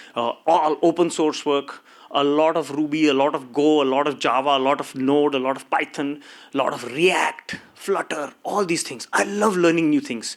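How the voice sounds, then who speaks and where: At a moderate pace, a man with a Marathi accent speaks in a fairly high pitch. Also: ordinary pitch variation. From India. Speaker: tech company co-founder. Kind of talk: conference talk. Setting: stage with audience. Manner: animated.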